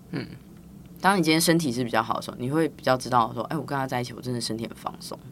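A woman with a Taiwanese accent, very deep, low pitch, and a very fast pace. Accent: Taiwanese Mandarin. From Taiwan, Tainan. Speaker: physical therapist and business founder. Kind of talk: casual interview.

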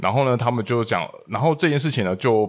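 A plain, everyday voice speaks at a fairly quick pace with lively intonation. The recording is very clean, with a silent background. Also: man. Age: 30s. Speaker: podcast co-host. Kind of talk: casual chat.

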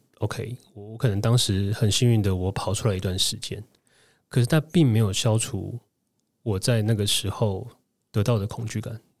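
With long, frequent pauses, a man speaks at a moderate pace in a fairly low, somewhat breathy voice and fairly even intonation, captured in a very clean recording with a silent background. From Taiwan. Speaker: former food-industry marketer, interviewee. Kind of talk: interview testimony.

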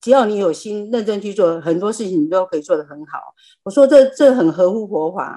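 A woman's dark, mellow voice at a medium pitch and a fairly quick pace. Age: 70s. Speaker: lay Buddhist practitioner sharing. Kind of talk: personal testimony. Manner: halting.

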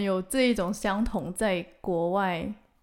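A woman with a medium pitch and fairly even intonation is heard on a very clean recording with a silent background. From Malaysia. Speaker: podcast co-host. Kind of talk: casual chat.

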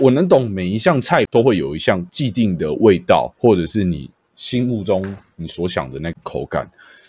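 A man's fairly low voice at a moderate pace, with very wide pitch swings. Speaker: podcast host and streamer. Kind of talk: casual chat. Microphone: new microphone.

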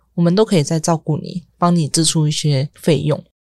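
A woman with a fairly low pitch talks at a moderate pace, the sound dry and close with no echo. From Taiwan. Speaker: former foster-home resident, product designer. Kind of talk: interview.

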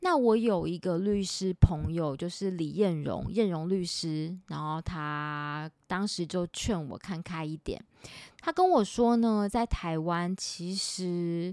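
A woman speaks at a very slow pace in a fairly low pitch with ordinary pitch variation, on a very clean recording with a silent background. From Taiwan, Taipei. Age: 40s. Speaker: podcast host and author. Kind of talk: casual monologue; sponsored product pitch.

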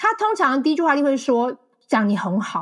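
With a Taiwanese accent, a woman speaks at a moderate pace in a high pitch, her voice making very wide pitch swings. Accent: Taiwanese Mandarin. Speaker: marketing account manager and author. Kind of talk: interview conversation.

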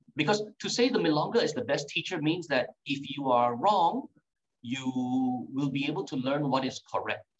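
Somewhat breathy and fairly high-pitched, a man speaks at a moderate pace with lively intonation. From Singapore. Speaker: tango teacher. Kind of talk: casual interview.

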